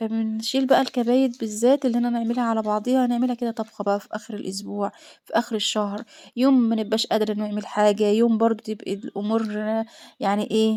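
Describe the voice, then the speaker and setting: A woman with an Egyptian accent speaks at a fairly quick pace in a dark, mellow tone, fairly high in pitch yet monotone and flat. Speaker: homemaker vlogger. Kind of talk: casual vlog chat.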